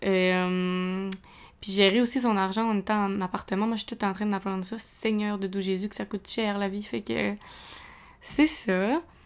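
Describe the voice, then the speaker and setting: A woman's medium-pitched voice in a Quebec accent at a moderate pace, with ordinary pitch variation, in a very clean recording with a silent background. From Quebec, Montreal region. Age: 20s. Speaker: podcast host, student. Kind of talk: casual monologue. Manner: hesitant, filler-heavy.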